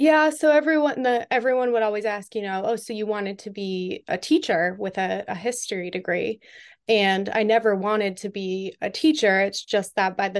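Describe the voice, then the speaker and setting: With an unremarkable speaking voice, a woman talks at a fairly quick pace and a medium pitch. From Western Massachusetts. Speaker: government IT consultant. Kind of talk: interview.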